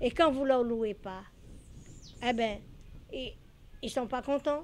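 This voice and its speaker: A woman speaks at a high pitch with ordinary pitch variation. Her pace is fairly slow. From Paris, France (left Guadeloupe very young). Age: 70s. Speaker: landlady. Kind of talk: interview testimony. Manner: halting, many hesitations.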